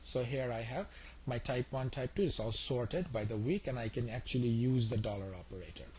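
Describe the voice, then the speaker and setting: The man's voice sits at a medium pitch and sounds somewhat breathy. He talks at a fairly quick pace. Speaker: instructor. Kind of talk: lecture. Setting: web session. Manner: fast.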